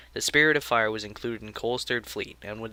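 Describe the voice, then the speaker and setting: Bright, sharp tone from a man at medium pitch, very fast in pace. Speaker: gaming news host. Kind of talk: video game lore narration.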